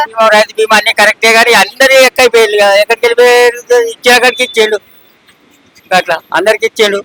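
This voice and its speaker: A man projects a raised voice at an extremely high pitch, keeping his loudness very even. The intonation is fairly even and the sound dry and close with no echo. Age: old. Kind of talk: street interview answer.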